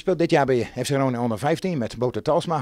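A man talks at a fairly quick pace in a medium pitch. His tone is slightly mellow.

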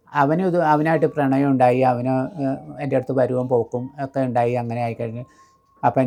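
This woman has a very deep, low pitch and a dark, mellow tone. Her pitch varies in an ordinary way. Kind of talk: life story interview.

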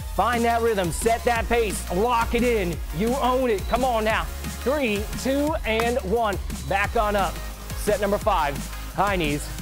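The voice moves at a moderate pace over clear music in the background. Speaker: fitness coach. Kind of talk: workout coaching calls. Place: gym.

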